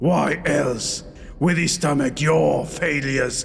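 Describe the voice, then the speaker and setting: A man's put-on, growling character voice, fairly high in pitch and fairly slow, over light background noise. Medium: read story. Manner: growled, mocking.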